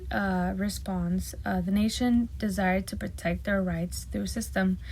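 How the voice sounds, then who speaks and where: A woman is speaking. She has a Spanish accent. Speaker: student. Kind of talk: class presentation. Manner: halting.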